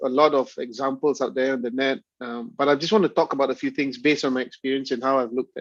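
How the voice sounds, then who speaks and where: A man speaks with a Malaysian accent. His pace is fairly quick. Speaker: university lecturer. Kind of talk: lecture. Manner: halting.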